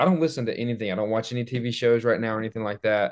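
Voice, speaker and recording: In an Alabama accent, a man speaks at a medium pitch against a quiet background. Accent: Southern US (Alabama). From US South, northwest Alabama. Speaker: dental student. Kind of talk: casual chat.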